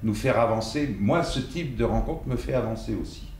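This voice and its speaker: The man speaks at a medium pitch. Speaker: actor and dubbing voice actor. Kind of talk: master class talk to an audience. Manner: hesitant, conversational.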